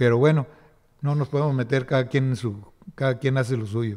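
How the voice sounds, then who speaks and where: Fairly even intonation in a man's dark, mellow tone. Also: quiet background. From Nuevo León, Mexico (Pesquería, raised in Monterrey); Nuevo León, Mexico. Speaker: municipal chronicler. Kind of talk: interview about local history; interview answer. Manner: halting, with many fillers. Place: hall. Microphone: podium.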